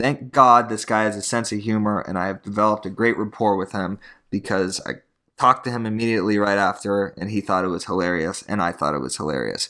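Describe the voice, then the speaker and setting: A man talks at a very fast pace in a bright, sharp tone with ordinary pitch variation. The recording is very clean, with a silent background. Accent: American. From Tucson, Arizona. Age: 20s. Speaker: real estate agent, podcaster. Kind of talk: casual monologue storytelling. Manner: stumbling, repetitive.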